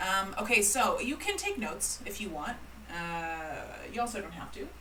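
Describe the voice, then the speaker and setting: A woman talks at a moderate pace with a Canadian accent. Noticeable background noise and audible room echo fill the recording. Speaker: calligrapher and business teacher. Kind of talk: live-streamed presentation. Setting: livestream with online chat. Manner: casual, chatty with many fillers.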